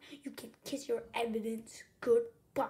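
A woman speaks in a put-on character voice, high-pitched and with a hissing quality. Her pace is fairly slow. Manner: threatening, hissed.

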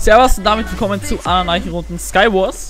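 A man speaks with an Austrian accent. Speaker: gaming YouTuber. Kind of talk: casual gameplay commentary.

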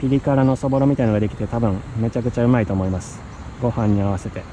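A man speaks with ordinary pitch variation. The sound is dry with no echo, and there is light background noise. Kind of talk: casual vlog chat. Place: garden. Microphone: phone near.

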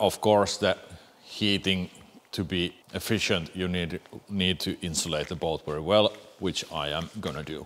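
Speaking with a Finnish accent, a man uses a very deep, low pitch and fairly even intonation at a fairly slow pace. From Finland. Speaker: boat builder; boat builder vlogger. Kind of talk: casual Q&A vlog. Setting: boat building workshop. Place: tent.

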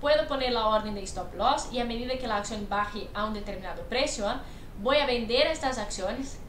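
At a fairly quick pace, a woman speaks in a high pitch, with light background noise and audible room echo. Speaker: investment educator. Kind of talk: commentary. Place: home room. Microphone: webcam.

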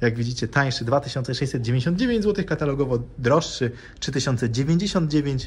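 This voice belongs to a man. It sounds somewhat breathy. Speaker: bike shop video host. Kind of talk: casual product comparison vlog. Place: shop. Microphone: phone near.

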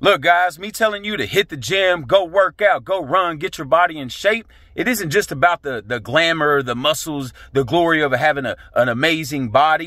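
A man with a fairly high pitch speaks at a moderate pace in an intense, bright, sharp tone with lively intonation. The sound is dry with no echo over a quiet background. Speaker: motivational vlogger. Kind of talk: motivational pep talk. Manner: intense, profane, fired-up and punchy; emphatic, repetitive hammering of key phrases. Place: car. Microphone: phone near.

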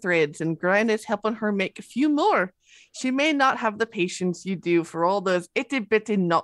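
A natural voice reading aloud, its intonation lively

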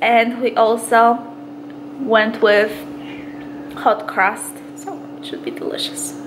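A woman with a Polish accent speaks very slowly in a high pitch, taking long, frequent pauses. Her pitch swings very widely and her loudness swings a lot, over noticeable background noise. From Poland. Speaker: vlogger. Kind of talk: casual vlog.

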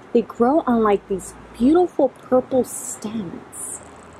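A woman speaks at a very slow pace with lively intonation. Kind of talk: tutorial. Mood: cheerful, enthusiastic. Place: garden.

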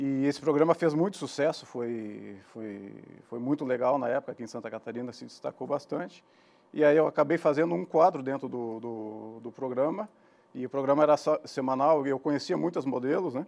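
At a moderate pace, a man talks with ordinary pitch variation and big swings in loudness. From Rio Grande do Sul, Brazil (Gramado, Serra Gaúcha); Rio Grande do Sul, Brazil. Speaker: businessman, online media producer; guest. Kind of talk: casual interview. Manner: halting, repeats words. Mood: relaxed, conversational. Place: studio. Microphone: lapel.

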